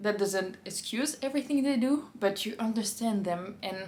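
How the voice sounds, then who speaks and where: With an audible room echo, a woman talks at a moderate pace in a medium pitch, somewhat breathy, with ordinary pitch variation. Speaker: book reviewer. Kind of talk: casual book review monologue.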